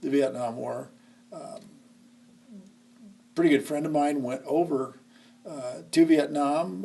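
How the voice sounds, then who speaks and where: With a Midwestern American accent and a dark, mellow tone, the speaker goes very slowly, leaving long, frequent pauses amid ordinary pitch variation. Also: man, big swings in loudness. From Nebraska, Lincoln. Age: 60s. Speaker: history teacher. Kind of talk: oral history interview. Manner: hesitant, many fillers.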